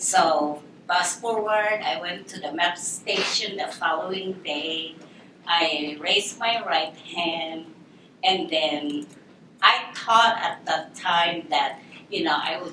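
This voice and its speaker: A woman with a Filipino accent at a very slow pace, ordinary pitch variation, noticeable background noise and audible room echo. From Philippines. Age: 60s. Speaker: military veteran. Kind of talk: personal story talk. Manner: animated storytelling.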